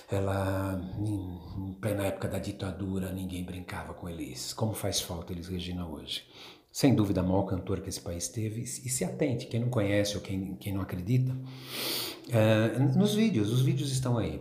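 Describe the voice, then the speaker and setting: Somewhat breathy and dark, mellow in tone, a man's fairly low voice moves at a moderate pace with ordinary pitch variation and audible room echo. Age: 60s. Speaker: music fan. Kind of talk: personal testimony.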